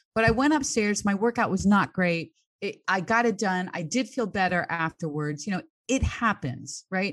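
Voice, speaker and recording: A woman with a plain, everyday voice, medium pitch and lively intonation, at a moderate pace over a quiet background. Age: 60s. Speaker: fitness coach. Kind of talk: casual chat.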